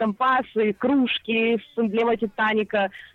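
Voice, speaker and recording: Her voice sits at a fairly high pitch, and this woman uses ordinary pitch variation. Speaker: radio correspondent. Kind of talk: live phone report. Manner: lively, upbeat.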